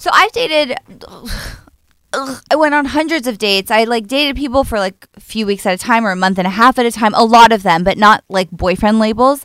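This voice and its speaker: In a plain, everyday voice, a woman talks at a fairly quick pace with fairly high pitch and lively intonation. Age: 30s. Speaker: comedian. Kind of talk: casual chat.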